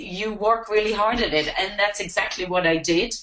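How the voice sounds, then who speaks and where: Moderate pace and ordinary pitch variation, with an Irish accent. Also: woman. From Ireland. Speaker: network marketing distributor. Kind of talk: webinar presentation. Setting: online webinar.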